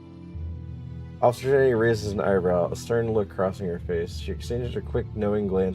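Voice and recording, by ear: With ordinary pitch variation, a person is reading aloud in a natural voice.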